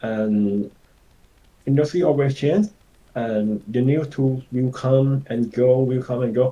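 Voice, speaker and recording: Very slowly, a man with a Thai accent speaks at a medium pitch with ordinary pitch variation and a dark, mellow tone. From Thailand. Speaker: environment concept artist. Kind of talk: webinar Q&A. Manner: halting.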